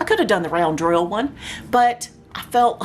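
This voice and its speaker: Over noticeable background noise, a woman talks in an animated tone with lively intonation. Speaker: craft YouTuber. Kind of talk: unboxing review.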